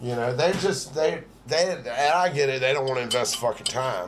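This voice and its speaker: Medium pitch from a man at a moderate pace, with noticeable background noise and audible room echo. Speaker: livestream host. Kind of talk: casual chat.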